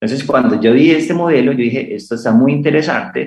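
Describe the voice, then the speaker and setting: In an ordinary speaking voice, a man of medium pitch talks at a fairly quick pace with ordinary pitch variation. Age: 30s. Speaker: startup founder and rancher. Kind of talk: radio interview.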